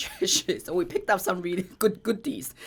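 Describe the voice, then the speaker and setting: A woman with a Chinese accent talks at a very fast pace against noticeable background noise. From China. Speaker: company co-founder. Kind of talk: podcast conversation.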